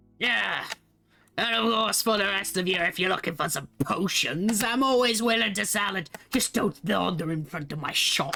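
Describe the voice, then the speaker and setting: Someone uses a put-on character voice at a middle pitch and moderate pace. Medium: actual play. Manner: curt, dismissive.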